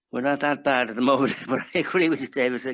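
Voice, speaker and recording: Against a quiet background, a man with an Irish accent talks at a fairly quick pace and fairly high pitch. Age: 80s+. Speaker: men's shed member. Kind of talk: casual chat. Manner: halting.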